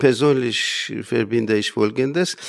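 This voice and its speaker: A man is speaking. His pace is very slow. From Iran, Armenian community near Isfahan. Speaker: lecturer in Armenian. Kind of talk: interview statement. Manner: halting.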